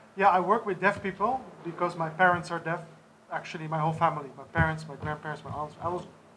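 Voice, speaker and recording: Over music in the background, a man in a high pitch races at a very fast pace, with fairly even intonation and big swings in loudness. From Netherlands. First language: sign language. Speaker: deaf charity organizer. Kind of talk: press conference speech.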